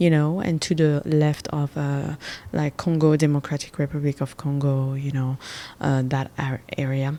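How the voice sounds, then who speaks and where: A woman's very deep, low voice with a dark, mellow tone and a French accent, fairly slow, on a very clean recording with a silent background. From Gabon. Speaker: podcast host. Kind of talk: casual monologue. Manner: hesitant, many fillers.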